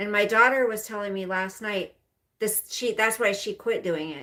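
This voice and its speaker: A woman speaks at a moderate pace with a bright, sharp tone. Her pitch sits fairly high and rises and falls in an ordinary way. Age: 50s. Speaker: livestreamer. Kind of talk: casual live stream chat. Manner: rambling with fillers.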